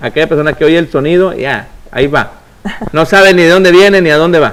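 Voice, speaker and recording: A man speaks loudly at a high pitch with ordinary pitch variation. His pace is fairly quick. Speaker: preacher and radio host. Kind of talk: preaching on a religious call-in program. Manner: fast.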